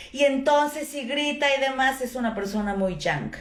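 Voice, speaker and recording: A woman speaks loudly at a moderate pace with ordinary pitch variation, and the room echo is audible. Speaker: traditional Chinese medicine teacher. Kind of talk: lecture.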